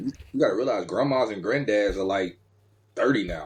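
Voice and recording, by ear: A man speaks at a moderate pace with a husky, rough edge. His pitch is fairly low and his intonation lively.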